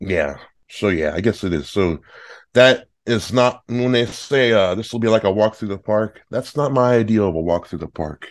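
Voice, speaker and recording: Against a quiet background, a man talks in an ordinary speaking voice at a fairly low pitch. His pace is moderate and his intonation lively. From northern California. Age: 30s. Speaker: guest, podcast fan. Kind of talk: casual chat. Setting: remote call.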